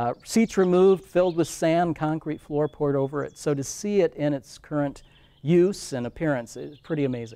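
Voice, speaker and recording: A man with an American accent talks at a moderate pace in a fairly high pitch. He has ordinary pitch variation and a plain, everyday voice. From Iowa. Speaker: historic preservation director. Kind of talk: casual interview.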